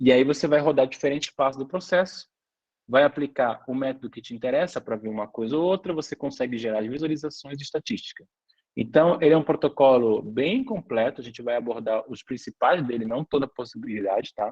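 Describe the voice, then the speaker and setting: A man talks at a fairly quick pace in a fairly high pitch, with ordinary pitch variation and big swings in loudness. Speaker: lecturer and biotech company founder. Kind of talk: online lecture. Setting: online class with chat. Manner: fast.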